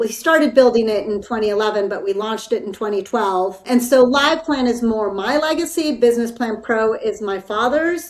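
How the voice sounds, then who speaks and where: The woman's voice sits fairly high and shows ordinary pitch variation. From California. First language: Spanish. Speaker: business executive. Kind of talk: interview.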